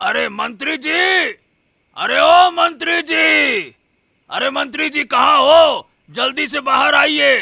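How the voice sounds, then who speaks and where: A man shouting in a cartoonish character voice, extremely high-pitched, very slow, with long, frequent pauses. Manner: stammering, eager.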